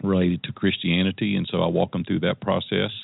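A man's very deep, low voice in a Tennessee accent, moderate in pace. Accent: Southern US (Tennessee). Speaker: entrepreneur and life coach. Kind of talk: interview.

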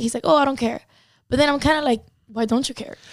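A woman with a Spanish accent talks with ordinary pitch variation. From Cuba. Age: 20s. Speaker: model and online content creator. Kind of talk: casual chat.

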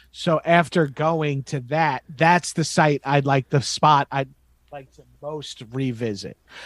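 Speaking at a very slow pace, a man with a fairly high pitch shows ordinary pitch variation and big swings in loudness, in a dry, close sound with no echo on a very clean recording with a silent background. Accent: American. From Long Island, New York. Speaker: comedian. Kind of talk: casual chat.

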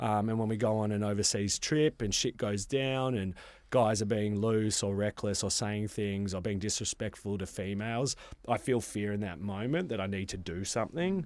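Recorded very cleanly against a silent background, a man with an Australian accent speaks at a moderate pace in a fairly low pitch with ordinary pitch variation. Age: 30s. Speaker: men's wellbeing facilitator. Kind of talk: casual chat.

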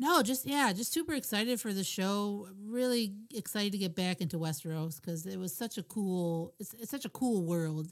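A normal speaking voice with lively intonation, a moderate pace and hardly any pauses. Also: woman, medium pitch for a woman. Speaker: podcaster guest caller. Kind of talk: casual chat. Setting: video call.

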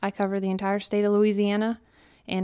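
A woman with an American accent and monotone, flat intonation, on a very clean recording with a silent background. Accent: Pennsylvania with slight Southern drawl. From Pennsylvania. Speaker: wildlife biologist. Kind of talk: casual interview.

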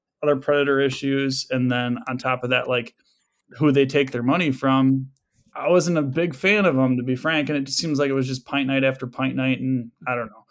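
A man talks in a normal speaking voice with an American accent. His pitch is medium and his pace fairly quick. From West Michigan. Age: 20s. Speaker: hunter. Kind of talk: casual chat.

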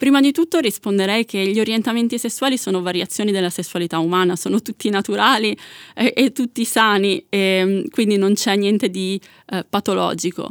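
An unremarkable speaking voice from a woman, medium in pitch with ordinary pitch variation and a fairly quick pace, on a very clean recording with a silent background and a dry, close sound with no echo. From Italy, Milan. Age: 30s. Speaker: asexual activist. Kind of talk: interview.

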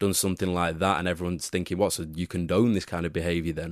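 Against a quiet background, a man speaks in a very deep, low voice with monotone, flat intonation, the sound dry and close with no echo. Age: 20s. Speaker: football pundit. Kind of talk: casual chat.

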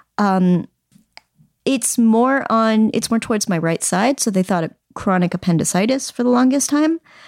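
A plain, everyday voice from a woman, fairly high in pitch with lively intonation and very even loudness, in a very clean, silent recording with a dry, close sound and no echo. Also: moderate pace. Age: 30s. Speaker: comedian and writer. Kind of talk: casual chat.

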